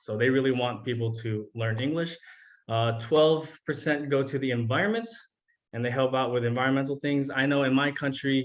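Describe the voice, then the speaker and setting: A man with a Los Angeles accent talks at a fairly quick pace. His intonation stays fairly even. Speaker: teacher. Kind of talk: presentation to students. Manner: casual, many fillers.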